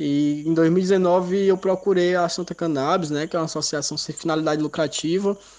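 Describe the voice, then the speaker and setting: Fairly even intonation at a moderate pace, with noticeable background noise. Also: man. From Ceará, Brazil (Baturité). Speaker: medical cannabis patient. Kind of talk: recorded testimony.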